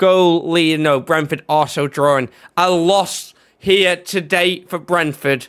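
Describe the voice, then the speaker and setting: A man with an animated, bright, sharp tone speaks at a fairly slow pace in a very clean recording with a silent background. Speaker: gaming YouTuber. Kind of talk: gameplay commentary. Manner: animated, commentating.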